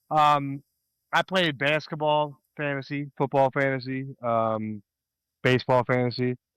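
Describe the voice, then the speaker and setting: Speaking fairly slowly with fairly even intonation, a man with a fairly high pitch and an American accent has an ordinary speaking voice, recorded with a dry, close sound and no echo. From US, Delaware County, Pennsylvania. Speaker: podcast co-host. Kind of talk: casual chat.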